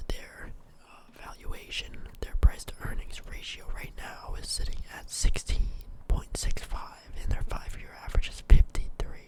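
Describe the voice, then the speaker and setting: A man whispering at a moderate pace, with big swings in loudness over noticeable background noise. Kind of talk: ASMR stock market review. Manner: whispered.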